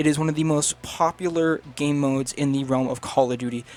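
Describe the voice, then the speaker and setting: With fairly even intonation and a fairly high pitch, a man talks in a plain, everyday voice. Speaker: gaming video creator. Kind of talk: video essay narration.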